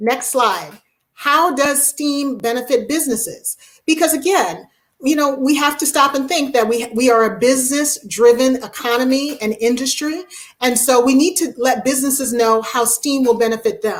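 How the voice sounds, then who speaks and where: The woman's voice sits high, moving at a moderate pace and showing ordinary pitch variation. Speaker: education speaker. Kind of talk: webinar presentation.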